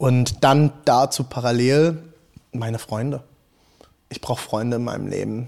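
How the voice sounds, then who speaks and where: A man's voice sits at a medium pitch, with fairly even intonation and a moderate pace. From Rhineland-Palatinate, Hunsrück. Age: 30s. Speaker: pastor. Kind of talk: casual interview chat. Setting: in a church, in person. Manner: talkative.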